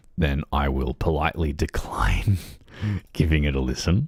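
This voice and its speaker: A man's very deep, low voice with vocal fry and fairly even intonation. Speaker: livestreaming gamer. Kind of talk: casual livestream chat. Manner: hesitant, many fillers.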